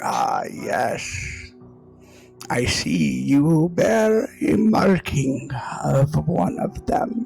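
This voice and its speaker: A man's put-on character voice at a very slow pace, with faint music in the background. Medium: actual play. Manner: calm, explanatory.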